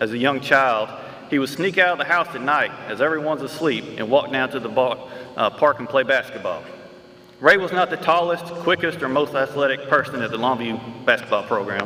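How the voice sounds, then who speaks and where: There is noticeable background noise as a man with an East Texas accent talks at a fairly quick pace. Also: fairly high pitch for a man, ordinary pitch variation. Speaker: award presenter introducing an honoree. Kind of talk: award ceremony tribute speech. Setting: school gym with audience.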